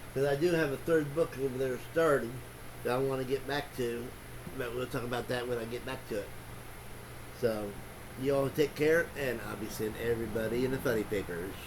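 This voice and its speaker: Talking at a fairly quick pace with ordinary pitch variation, a man leaves long, frequent pauses. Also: medium pitch for a man. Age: 60s. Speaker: booktuber, book reviewer. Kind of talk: casual vlog monologue. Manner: halting, many fillers and restarts.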